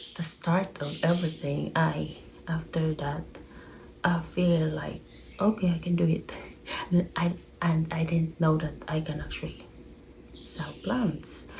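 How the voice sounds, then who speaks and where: A woman with a Filipino accent, fairly low in pitch, very slow in pace, with fairly even intonation and long, frequent pauses. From Philippines. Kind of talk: casual chat. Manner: rambling.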